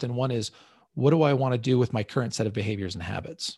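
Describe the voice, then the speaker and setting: Against a quiet background, a man with a medium pitch and a dark, mellow, somewhat breathy tone talks at a very fast pace with ordinary pitch variation. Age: 40s. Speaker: money coach and show host. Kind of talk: live online class with coaching calls. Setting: live video stream.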